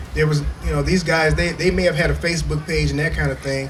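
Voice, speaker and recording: Noticeable background noise and audible room echo surround the voice of a man. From US Midwest, Toledo, Ohio. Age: 60s. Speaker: music historian and preserver. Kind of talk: workshop presentation. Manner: casual, conversational.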